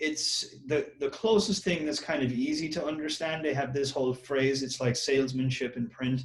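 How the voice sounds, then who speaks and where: A man with an Irish accent speaks in a somewhat breathy, fairly high-pitched voice with ordinary pitch variation. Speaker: copywriter, marketer. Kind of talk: interview answer. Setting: Skype call.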